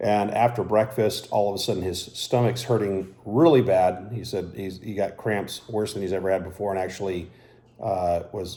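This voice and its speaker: At a moderate pace, a man speaks with a fairly low pitch, a dark, mellow tone and fairly even intonation. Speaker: YouTuber reviewing hot foods. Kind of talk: casual vlog monologue. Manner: halting with many fillers.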